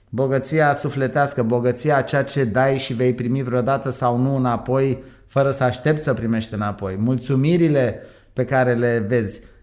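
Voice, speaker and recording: A man with a plain, everyday voice, medium pitch, moderate pace and fairly even intonation. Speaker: entrepreneur. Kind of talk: interview.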